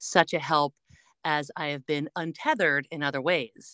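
With a bright, sharp tone and a very deep, low pitch, a woman talks at a moderate pace in a dry, close recording free of echo. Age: 50s. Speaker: podcaster and former editor. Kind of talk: casual interview chat.

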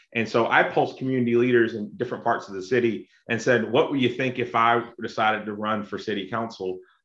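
With an American accent, a man talks at a fairly quick pace in a plain, everyday voice, medium in pitch and fairly even in intonation. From South Carolina (Lexington). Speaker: local city official. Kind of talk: casual interview.

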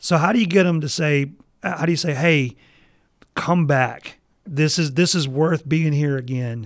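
In a very clean recording with a silent background, a man with a Mississippi accent speaks at a moderate pace and a fairly high pitch with ordinary pitch variation. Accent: Mississippi Southern. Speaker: podcast co-host, seminary professor. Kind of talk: casual chat.

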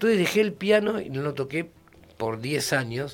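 At a moderate pace, a man with an ordinary speaking voice talks at a fairly high pitch with lively intonation. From Argentina, Buenos Aires province. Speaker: musician. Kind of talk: radio interview.

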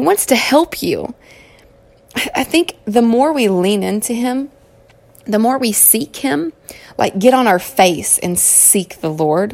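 A woman with a Southern US accent, fairly high-pitched, with very wide pitch swings, a fairly slow pace, long, frequent pauses and noticeable background noise. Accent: southern twang. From Kentucky. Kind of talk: solo inspirational podcast monologue. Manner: animated.

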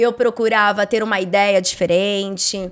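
A woman's ordinary speaking voice at medium pitch and a fairly slow pace. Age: 30s. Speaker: insurance brokerage CEO. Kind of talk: interview conversation.

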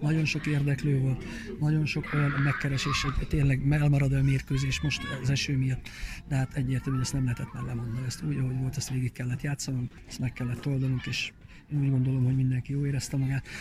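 The voice races along at a very fast pace in monotone, flat intonation, with noticeable background noise behind it. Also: man, medium pitch for a man. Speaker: event organizer, amateur footballer. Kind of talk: interview.

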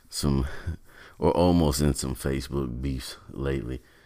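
This man's very deep, low voice moves at a moderate pace. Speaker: podcast host. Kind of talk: casual solo podcast monologue. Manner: animated, loud, energetic; informal, stumbling over words.

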